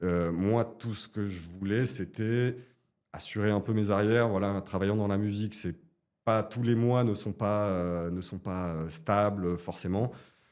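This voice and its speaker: Fairly low in pitch, this man talks with fairly even intonation. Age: 40s. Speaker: client giving a testimonial, composer. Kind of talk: interview testimony. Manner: hesitant, many fillers.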